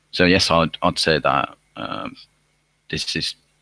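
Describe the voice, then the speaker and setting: This man's voice has a bright, sharp tone and vocal fry. The sound is dry and close, with no echo. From Finland. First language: Finnish. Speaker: university student. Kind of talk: live online Q&A. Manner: halting, many repetitions.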